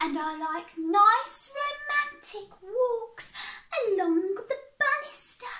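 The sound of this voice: A female-sounding put-on character voice, extremely high in pitch, at a very slow pace.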